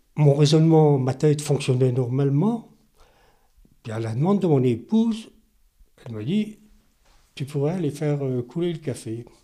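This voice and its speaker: Pausing long and often, a man with a dark, mellow tone and fairly high pitch speaks with lively intonation. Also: moderate pace. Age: 70s. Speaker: stroke survivor, retiree. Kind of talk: testimony.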